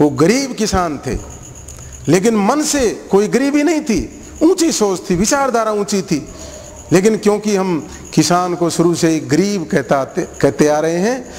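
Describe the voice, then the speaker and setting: Very wide pitch swings mark this voice, which moves at a very slow pace. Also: man, high pitch for a man. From Haryana, Bhiwani area village; Haryana, India. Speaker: school principal. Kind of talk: interview; interview answer. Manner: halting. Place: garden.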